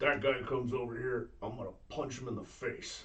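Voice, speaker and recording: A man does a raspy, put-on character voice at medium pitch with monotone, flat intonation. Audible echo surrounds the recording. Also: moderate pace. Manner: tough, threatening.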